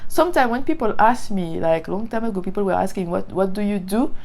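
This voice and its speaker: This woman's pitch sits in the medium range. She talks at a fairly quick pace. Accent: French. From Martinique. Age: 30s. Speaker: faith content creator. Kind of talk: testimony. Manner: halting.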